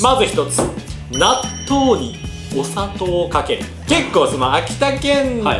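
A man at a fairly slow pace, long and frequent pauses, over noticeable background noise. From Akita, Japan. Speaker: blogger host. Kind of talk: casual talk to camera. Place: home room.

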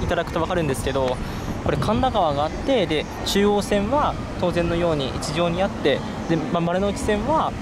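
A man speaks at a fairly quick pace over loud background noise. The sound is dry with no echo. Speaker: railway video creator. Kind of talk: explanatory commentary while filming. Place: street. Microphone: phone near.

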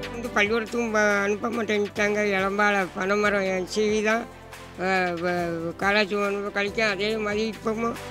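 A man speaks in a raised, projected voice with a high pitch and a flat, monotone delivery, the sound dry with no echo and clear music playing in the background. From Tirunelveli region, Tamil Nadu. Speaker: palm tree climber, toddy tapper. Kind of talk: interview answer. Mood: sorrowful, complaining about son. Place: open country. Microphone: handheld.

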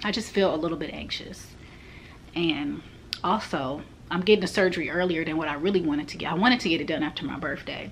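Over light background noise, a woman with a fairly low pitch talks at a fairly quick pace with lively intonation. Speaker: vlogger. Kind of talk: casual vlog chat. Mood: anxious, overwhelmed, emotional. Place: home room. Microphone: phone near.

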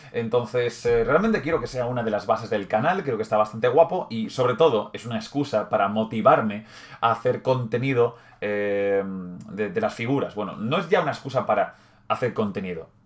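A man with a Spanish accent talks at a fairly quick pace with ordinary pitch variation. The background is quiet. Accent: Peninsular Spanish. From Spain. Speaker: gaming YouTuber. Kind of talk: livestream hobby tutorial chat. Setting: live stream. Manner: casual, hesitant with fillers. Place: home room. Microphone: webcam.

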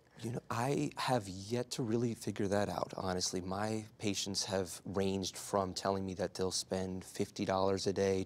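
Very deep and low, a man's voice moves at a moderate pace with fairly even intonation. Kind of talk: interview answer. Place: studio. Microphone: lapel.

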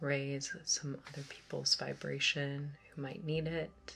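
Over music in the background, a woman with a very deep, low voice speaks with fairly even intonation. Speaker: ASMR meditation guide. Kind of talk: guided meditation. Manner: soft-spoken. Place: home room.

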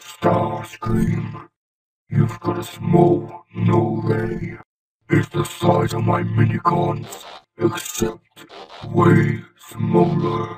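A man performs a raspy, cartoonish character voice at a very slow pace. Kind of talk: fan dub of an animated robot character.

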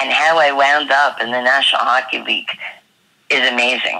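Someone speaks at a moderate pace in a New York accent. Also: woman. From Long Island, New York. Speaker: skating coach. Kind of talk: interview.

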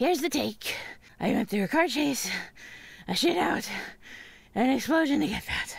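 Long, frequent pauses break up this cartoonish character voice. The pace is moderate. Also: female-sounding voice, high pitch for a woman. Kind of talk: cartoon radio-drama voice acting. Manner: sarcastic, impatient, tough.

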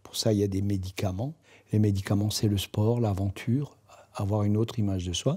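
A man's dark, mellow voice at a moderate pace. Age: 70s. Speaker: association founder and president, blind. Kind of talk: promotional testimony.

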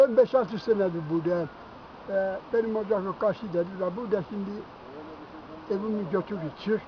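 Soft-spoken, with ordinary pitch variation, the speaker goes at a moderate pace and leaves long, frequent pauses. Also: man, high pitch for a man. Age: 80s+. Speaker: elderly highland herder. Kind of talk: casual interview. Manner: soft-spoken, told to speak up.

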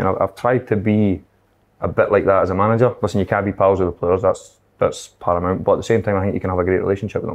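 A man with a Scottish accent talks at a very fast pace in a fairly low pitch, his intonation monotone and flat. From Scotland. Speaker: football manager; guest. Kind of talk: casual chat. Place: meeting room.

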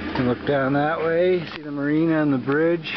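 Noticeable background noise over a dry sound with no echo. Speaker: vlogger. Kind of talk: casual vlog chat. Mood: relaxed, amused. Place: open country. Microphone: phone near.

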